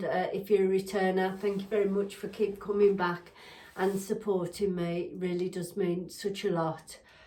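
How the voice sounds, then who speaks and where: A woman speaks at a medium pitch, with audible echo in the room. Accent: English. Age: 60s. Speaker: lifestyle vlogger. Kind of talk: casual chat. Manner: halting, many fillers.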